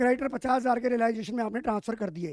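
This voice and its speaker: A man speaks loudly at an extremely high pitch. The sound is dry and close, with no echo. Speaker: teacher. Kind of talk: lecture. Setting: live online class.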